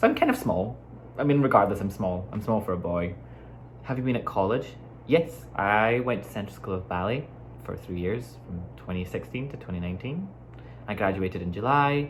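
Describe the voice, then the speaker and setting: A man's fairly low, fairly quick voice with an American accent, very wide pitch swings and audible room echo. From Scotland, Glasgow. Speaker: dancer and vlogger. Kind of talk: casual chat. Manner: casual, filler-heavy.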